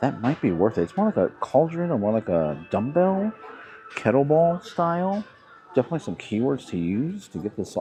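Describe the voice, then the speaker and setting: A man speaks loudly at a fairly quick pace, his pitch swinging very widely. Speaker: thrift reseller vlogger. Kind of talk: casual vlog narration while shopping. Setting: inside a thrift store. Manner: louder outdoor voice.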